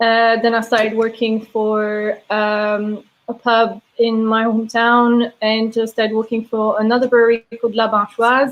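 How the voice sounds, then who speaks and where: A woman speaks in a Belgian accent at a fairly high pitch, with a monotone, flat intonation. Her pace is fairly slow, her loudness very even, and she hardly pauses at all. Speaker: brewery sales and taproom manager. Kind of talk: casual interview chat.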